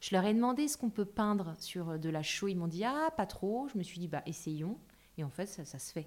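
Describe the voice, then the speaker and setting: A woman's medium-pitched voice moves in very wide pitch swings on a very clean recording with a silent background. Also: moderate pace. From Paris, France. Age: 30s. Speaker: interior architect. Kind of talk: casual interview.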